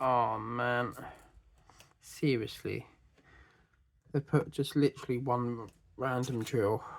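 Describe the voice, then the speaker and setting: A man speaks in a British accent at a medium pitch. His pace is fairly slow and his intonation fairly even. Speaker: craft YouTuber. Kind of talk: casual chat while crafting. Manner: casual, halting with fillers.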